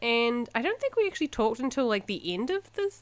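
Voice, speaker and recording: This woman's voice sits at a fairly high pitch. She speaks at a moderate pace. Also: very clean recording, silent background. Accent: New Zealand. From New Zealand, Invercargill. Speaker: podcast co-host. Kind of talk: casual chat.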